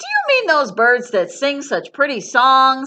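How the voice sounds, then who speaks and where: Putting on a loud character voice, a woman speaks at a high pitch and a fairly slow pace. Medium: read story. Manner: loud, hearty.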